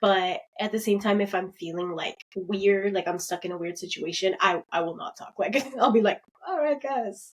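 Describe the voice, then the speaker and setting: Loud and animated, a woman speaks at a moderate pace with lively intonation and a medium pitch. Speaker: podcast co-host. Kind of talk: casual chat.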